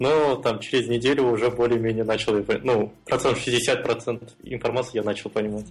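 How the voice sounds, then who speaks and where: A man speaks at a moderate pace in a flat monotone. His loudness stays very even throughout. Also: medium pitch for a man. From Kazakhstan, Almaty. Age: 20s. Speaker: freelance mobile and web developer. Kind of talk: casual interview.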